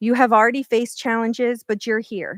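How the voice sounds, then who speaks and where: A woman's fairly high-pitched voice on a very clean recording with a silent background. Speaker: keynote speaker, scientist. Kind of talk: keynote speech. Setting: stage with audience, at a podium. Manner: halting; quivering voice.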